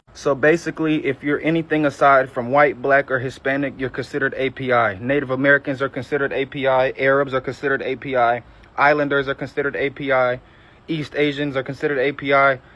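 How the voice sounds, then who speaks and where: A man's fairly high voice in a Southern US accent, very fast and monotone with flat intonation. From Georgia, US South. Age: 20s. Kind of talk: testimony.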